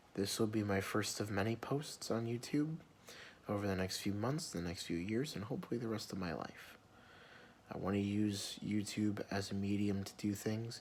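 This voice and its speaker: A soft-spoken man's fairly low voice with ordinary pitch variation. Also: moderate pace. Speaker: vlogger. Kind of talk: personal vlog rant. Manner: quiet, soft-spoken; sometimes gets loud.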